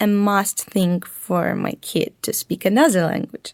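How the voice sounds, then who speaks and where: Recorded dry and close with no echo, a woman speaks in a Russian accent. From Ukraine. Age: young. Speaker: interviewee. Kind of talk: interview.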